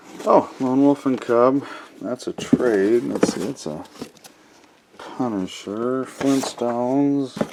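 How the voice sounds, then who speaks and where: A man talks at a very slow pace with ordinary pitch variation and big swings in loudness. Noticeable background noise runs underneath. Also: medium pitch for a man. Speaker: collectibles video creator. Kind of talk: casual unboxing commentary. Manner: halting.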